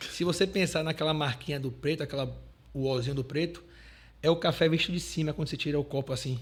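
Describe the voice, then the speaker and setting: A fairly high male voice with vocal fry and fairly even intonation at a very fast pace, on a very clean recording with a silent background. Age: 30s. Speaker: entrepreneur. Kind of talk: podcast interview.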